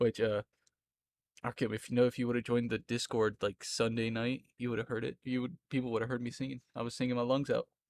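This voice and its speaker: A man's medium-pitched, monotone, flat delivery at a fairly quick pace, with a slight Southern US accent and a dry, close sound with no echo. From Florida, US South. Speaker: streamer. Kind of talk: casual chat. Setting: live stream.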